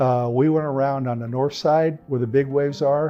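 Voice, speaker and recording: Music plays in the background. The speaker has an American accent and fairly even intonation. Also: man. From California. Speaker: retired firefighter and navy veteran. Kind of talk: life story interview. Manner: casual, conversational.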